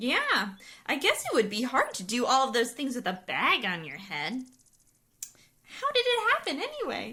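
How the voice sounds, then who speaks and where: This is a cartoonish character voice, female-sounding. It sits at a high pitch for a woman. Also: moderate pace. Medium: puppet.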